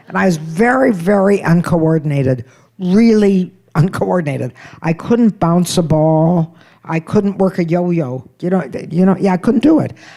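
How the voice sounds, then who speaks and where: With an American accent, the voice has a dark, mellow tone, lively intonation and a moderate pace. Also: woman, fairly low pitch for a woman. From United States. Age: 80s+. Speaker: comedian. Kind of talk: stand-up.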